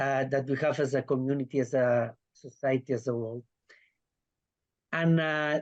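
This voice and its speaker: This man speaks at medium pitch and a moderate pace. His delivery is monotone and flat, broken by long, frequent pauses. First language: Spanish or Catalan. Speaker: festival director. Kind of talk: panel discussion. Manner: halting.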